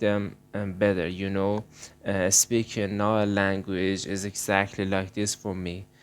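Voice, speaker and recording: A man with a Persian accent speaks at a fairly low pitch in a flat monotone. The recording is very clean, with a silent background. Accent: Persian accent, non-native English. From Iran. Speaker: art channel creator. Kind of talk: casual vlog talk. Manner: halting, many fillers. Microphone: recording voice only due to broken laptop.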